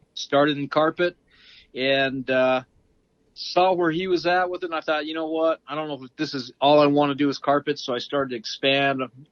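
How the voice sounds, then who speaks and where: Fairly quick and fairly even in intonation, this is an ordinary speaking voice. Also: man, fairly high pitch for a man. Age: 60s. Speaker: flooring installer and instructor. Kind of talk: interview.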